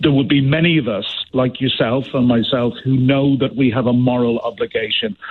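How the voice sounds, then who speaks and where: This man has an Irish accent. His intonation is fairly even. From Ireland. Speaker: former diplomat. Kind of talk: radio interview.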